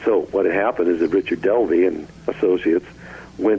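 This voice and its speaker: Over noticeable background noise, a man talks at a very fast pace with an American accent. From Southern California (Glendora). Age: 70s. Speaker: retired rock guitarist. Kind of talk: interview.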